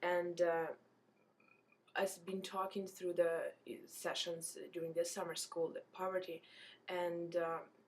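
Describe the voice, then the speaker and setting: A woman speaks at a fairly slow pace in a monotone, flat intonation. Her speech has long, frequent pauses. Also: fairly low pitch for a woman. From Ukraine. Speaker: graduate student. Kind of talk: student presentation. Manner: halting, many fillers.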